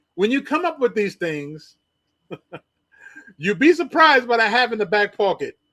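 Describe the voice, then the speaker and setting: A man's raised, projected voice at an extremely high pitch, bright and sharp in tone, with very wide pitch swings, a moderate pace and long, frequent pauses. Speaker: livestream show host. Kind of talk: casual chat. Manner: halting, stammering.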